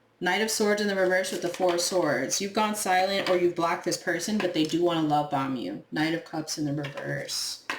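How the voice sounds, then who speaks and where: This woman talks at a fairly quick pace with a fairly low pitch and hardly any pauses. Noticeable background noise runs underneath. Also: ordinary pitch variation. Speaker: tarot reader. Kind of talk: tarot reading monologue. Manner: casual, animated; occasional stumbling.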